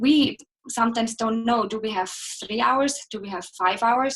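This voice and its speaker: A woman speaks with an Austrian accent at a moderate pace. Her pitch is high, with ordinary variation. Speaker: ski instructor and guide. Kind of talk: interview, live chat.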